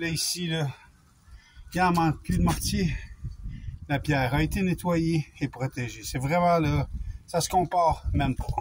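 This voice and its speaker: A man speaking with long, frequent pauses over noticeable background noise. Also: fairly slow pace. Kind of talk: tutorial. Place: street. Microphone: phone near.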